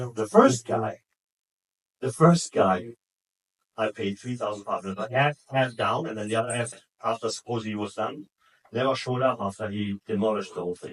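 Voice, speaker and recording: A man with a German accent talks at a fairly quick pace, pitched in the medium range with ordinary pitch variation. He takes long, frequent pauses, and the sound is dry and close, with no echo. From Germany. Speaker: sales trainer. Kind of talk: sales training talk. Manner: casual, anecdotal.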